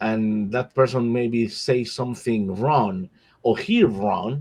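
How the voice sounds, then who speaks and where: A man speaks at a very slow pace with a Spanish accent. His pitch variation is ordinary. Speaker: nonprofit board member. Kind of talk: panel discussion. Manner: halting, many repetitions.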